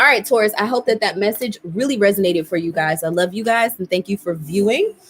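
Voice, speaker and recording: Against noticeable background noise, a woman with a medium pitch and lively intonation talks at a very fast pace. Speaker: tarot reader. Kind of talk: tarot reading. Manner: casual, chatty.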